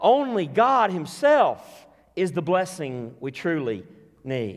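A man speaks at a slow pace with a fairly high pitch. His pitch makes big swings.

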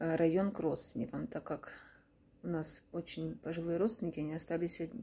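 Delivered at a fairly quick pace, the voice has a dark, mellow tone with vocal fry. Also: woman, fairly low pitch for a woman, ordinary pitch variation. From Kharkiv, Ukraine; Ukraine. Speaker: war-displaced mother. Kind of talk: testimony; personal testimony appeal. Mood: sad, subdued. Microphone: phone near.

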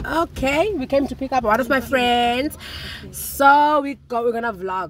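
Against light background noise, a woman speaks in a high pitch with a dry sound and no echo. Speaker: vlogger. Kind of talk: casual vlog chat. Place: car. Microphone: phone near.

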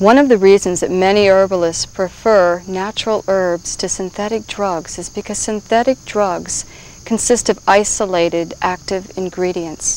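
Speaking with hardly any pauses at a moderate pace, a woman keeps her intonation fairly even in a dry sound with no echo. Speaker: herbal teacher. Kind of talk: instructional presentation. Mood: calm, gentle. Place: forest.

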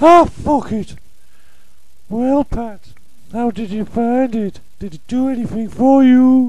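With an extremely high pitch in a put-on character voice, a man talks at a fairly slow pace with long, frequent pauses. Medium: fan dub. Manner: coarse, flirtatious.

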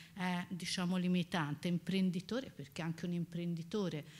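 Fairly low in pitch and somewhat breathy, a woman speaks at a moderate pace with fairly even intonation. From Pisa, Italy; Italy. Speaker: professor. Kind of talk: lecture. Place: hall.

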